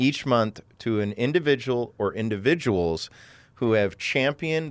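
A man with a plain, everyday voice and medium pitch speaks at a moderate pace with lively intonation in a very clean recording with a silent background.

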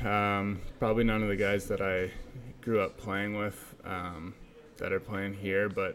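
A man with a plain, everyday voice speaks at a fairly low pitch and a moderate pace. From Abbotsford, British Columbia, Canada. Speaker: professional hockey player. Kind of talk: interview.

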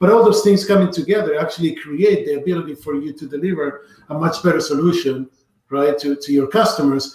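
The speaker talks at a very fast pace with a Spanish accent. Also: man, high pitch for a man, ordinary pitch variation. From Argentina. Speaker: tech company evangelist. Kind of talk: casual live video conversation. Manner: halting, with restarts.

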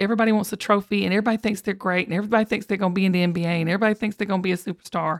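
A woman with a Southern US accent speaks in an animated tone with ordinary pitch variation, her voice dry and close with no echo on a very clean recording against a silent background. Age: 50s. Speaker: podcast host. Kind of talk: casual chat.

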